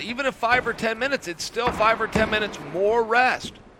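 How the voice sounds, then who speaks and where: Amid noticeable background noise, a man with a high pitch speaks in a raised, projected voice at a fairly quick pace. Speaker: grappling commentator. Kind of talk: live commentary.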